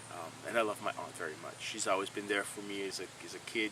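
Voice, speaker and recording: Over noticeable background noise, a man with a fairly low pitch speaks at a very fast pace in a Quebec accent. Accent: French Canadian accent in English. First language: French. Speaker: painter. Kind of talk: casual vlog monologue. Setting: outdoors by a stream. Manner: halting, many fillers.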